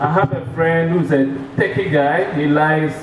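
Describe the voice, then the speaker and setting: A man speaks in a fairly high voice with ordinary pitch variation. Room echo is audible, along with noticeable background noise. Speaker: bank executive presenter. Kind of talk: business presentation. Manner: fast.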